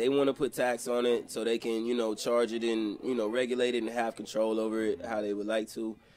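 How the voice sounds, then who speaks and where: The man's pitch is medium, and he speaks at a fairly quick pace. Light background noise can be heard. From Georgia, US South (Columbus). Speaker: rapper. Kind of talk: casual interview chat. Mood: relaxed, joking, candid. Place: home room. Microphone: handheld.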